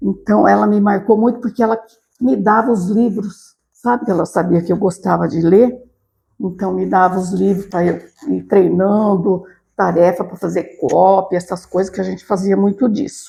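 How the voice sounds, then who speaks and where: A woman with a medium pitch speaks in a dark, mellow tone marked by vocal fry. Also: ordinary pitch variation, moderate pace. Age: 70s. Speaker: retired teacher and school director. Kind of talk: interview.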